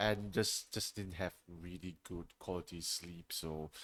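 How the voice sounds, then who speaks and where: In a very clean recording with a silent background, a man speaks at a very slow pace. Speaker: streamer hosting a talk show. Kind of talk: casual solo talk show. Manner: hesitant, many fillers.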